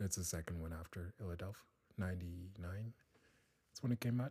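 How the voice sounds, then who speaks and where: A man with a very deep, low pitch talks at a fairly quick pace, sounding somewhat breathy, with fairly even intonation. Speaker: student. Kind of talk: casual chat. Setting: studio.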